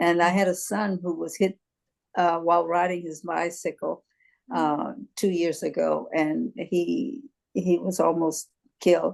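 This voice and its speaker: A woman with vocal fry speaks at a fairly low pitch and fairly slow pace, using ordinary pitch variation. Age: 80s+. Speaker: meeting participant. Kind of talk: casual group chat. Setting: video call.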